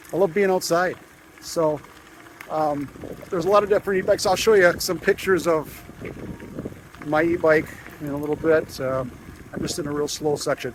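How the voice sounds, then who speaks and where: Fairly quick speech broken by long, frequent pauses, in a relaxed tone with ordinary pitch variation, over noticeable background noise. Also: man, fairly high pitch for a man. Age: 60s. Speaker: woodworking vlogger. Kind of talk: casual vlog monologue. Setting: outdoors riding an e-bike on a trail. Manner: relaxed, hesitant with many fillers.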